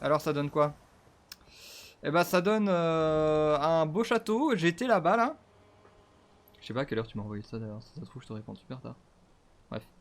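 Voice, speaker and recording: A man with a fairly high pitch talks at a moderate pace, with very wide pitch swings, big swings in loudness and long, frequent pauses. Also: very clean recording, silent background. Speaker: gaming streamer. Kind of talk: let's play commentary. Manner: animated.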